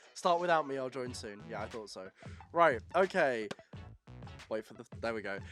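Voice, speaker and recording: Against music in the background, a man at medium pitch speaks at a moderate pace with very wide pitch swings and long, frequent pauses. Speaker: podcast host. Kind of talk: casual podcast conversation.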